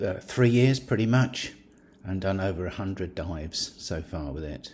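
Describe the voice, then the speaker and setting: A man speaks with a British accent. His pitch is fairly low and his intonation lively. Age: 70s. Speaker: scuba diving YouTuber. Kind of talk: product review. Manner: hesitant with fillers.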